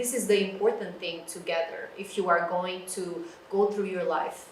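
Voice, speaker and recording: Over noticeable background noise and audible room echo, a woman speaks at a moderate pace with a medium pitch and fairly even intonation. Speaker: librarian. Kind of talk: lecture. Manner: loud. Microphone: no microphone, room sound.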